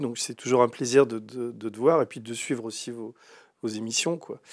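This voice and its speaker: A man speaks at a moderate pace with fairly even intonation. The sound is dry with no echo, and the background is quiet. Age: 60s. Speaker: writer and investigative journalist; investigative journalist. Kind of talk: interview. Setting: studio, live stream. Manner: hesitant, many fillers. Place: studio.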